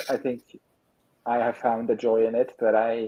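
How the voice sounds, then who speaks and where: A man speaks with a non-native accent. His pitch is medium. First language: not English. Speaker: writer, streamer. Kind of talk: casual chat.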